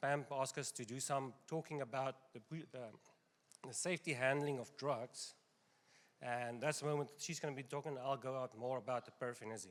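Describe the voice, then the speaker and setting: In a strong South African accent, the speaker keeps a moderate pace and fairly even intonation. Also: man, medium pitch for a man. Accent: South African accent, still strong. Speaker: pharmacy owner. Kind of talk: seminar presentation.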